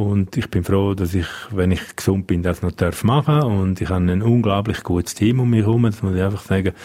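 This man has a fairly low pitch and a dark, mellow tone, talking at a fairly quick pace with ordinary pitch variation and very even loudness. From Switzerland, Engadin (Graubünden). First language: Romansh (speaking German). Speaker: police spokesperson. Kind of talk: radio interview.

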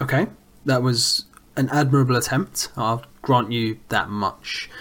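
Here a man has an ordinary speaking voice at medium pitch. He talks at a fairly slow pace. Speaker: podcast host. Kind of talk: casual football podcast chat.

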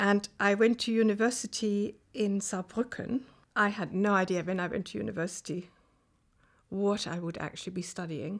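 A woman with a German accent speaks at a moderate pace and medium pitch, her intonation fairly even, on a very clean recording with a silent background. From Germany, Rhineland-Palatinate (Kaiserslautern). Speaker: professor. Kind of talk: interview.

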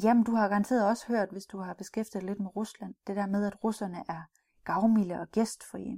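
A woman speaks at a moderate pace in a dark, mellow tone. Her intonation is fairly even, and the recording is very clean with a silent background. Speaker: cultural trainer for business in Russia. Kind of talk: recorded training module. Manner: hesitant, many fillers and repeats.

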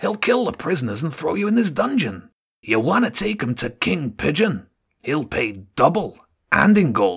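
Using a put-on character voice, a man sends his pitch through very wide swings. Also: fairly high pitch for a man, moderate pace. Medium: read story. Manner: smooth, calm, haggling.

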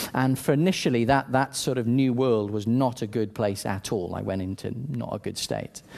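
A man speaks in a Welsh accent with a dark, mellow tone. His pace is moderate, with ordinary pitch variation. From South Wales. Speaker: church leader, preacher. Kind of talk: sermon. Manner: halting, many repetitions.

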